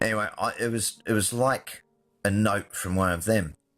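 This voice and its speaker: A man's fairly low voice with an Australian accent and ordinary pitch variation. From Adelaide, Australia. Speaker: film and television director. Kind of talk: storytelling.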